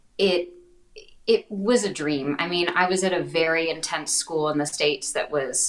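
Pitch shifts by ordinary amounts in a plain, everyday voice. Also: woman. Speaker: actor. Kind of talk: casual interview chat. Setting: video call.

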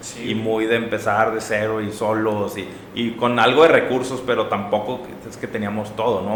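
A man with a northern Mexican accent speaks in a monotone, flat intonation, with audible room echo and noticeable background noise. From Mexico, Monterrey. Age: 30s. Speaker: startup executive and entrepreneur. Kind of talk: interview conversation.

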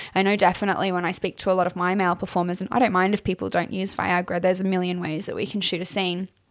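Speaking in an Australian accent at a very fast pace with hardly any pauses, a woman keeps a medium pitch and monotone, flat intonation. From Queensland, Australia. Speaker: adult film performer. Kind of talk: casual interview chat.

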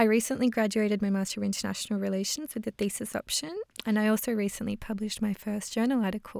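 An Australian accent marks this woman's fairly high voice. She talks very fast with fairly even intonation. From Melbourne, Australia. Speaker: recent master's graduate, podcast co-host. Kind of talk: casual introduction chat; scripted announcement.

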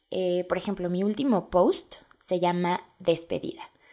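The woman has a dark, mellow tone. Her pitch sits in the medium range. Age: 20s. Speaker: podcast host and blogger. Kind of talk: casual monologue.

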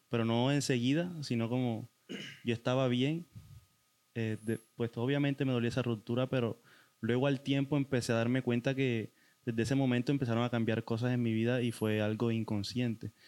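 A fairly quick pace, with very even loudness and fairly even intonation. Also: man, medium pitch for a man. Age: 20s. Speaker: guest sharing experience of depression. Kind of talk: testimony. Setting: in-person studio recording.

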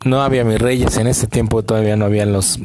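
With noticeable background noise behind him, a man with a Mexican accent talks at a fairly low pitch and with fairly even intonation. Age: 30s. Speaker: podcast host. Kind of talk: casual monologue.

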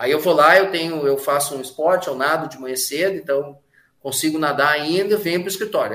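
With ordinary pitch variation and a fairly high pitch, a man talks in a normal speaking voice. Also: fairly quick pace, big swings in loudness. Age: 50s. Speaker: advertising professional and author. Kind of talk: casual interview.

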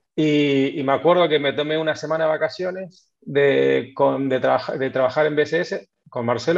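Pitched fairly high, a man is speaking. He keeps a moderate pace. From Argentina, Buenos Aires province (Necochea). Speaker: tech company co-founder. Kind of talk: interview.

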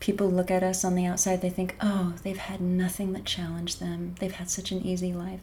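In an American accent, a woman speaks at a medium pitch and a moderate pace, her tone dark and mellow, somewhat breathy, with monotone, flat intonation. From US Pacific Northwest, Bellingham, Washington. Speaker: pianist and garden center worker. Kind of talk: faith testimony interview.

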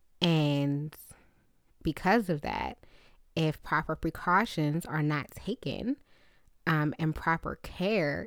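A woman's voice sits very deep and low, with ordinary pitch variation. She speaks very slowly. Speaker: podcast host, therapist and spiritualist. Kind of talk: casual solo podcast talk.

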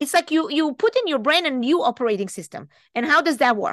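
Against a quiet background, a woman with an Israeli accent speaks at a high pitch with very wide swings, the sound dry and close with no echo. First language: Hebrew. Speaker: life coach. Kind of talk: podcast interview.

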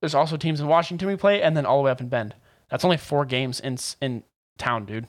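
This man has a fairly high voice and an American accent, and he talks at a very fast pace. The recording is very clean, with a silent background. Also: ordinary pitch variation. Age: young. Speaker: podcast co-host. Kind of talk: casual chat. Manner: animated.

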